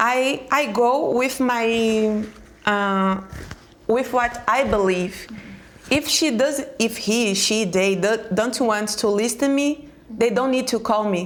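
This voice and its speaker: Very slow speech in a Brazilian Portuguese accent with ordinary pitch variation, amid noticeable background noise and audible room echo. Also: woman, fairly high pitch for a woman. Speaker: educator and speaker. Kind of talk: panel discussion. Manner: halting.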